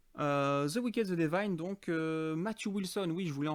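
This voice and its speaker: The background is silent and the recording very clean. A man talks with lively intonation. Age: 30s. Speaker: podcast host. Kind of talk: casual podcast monologue. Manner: casual, many hesitations.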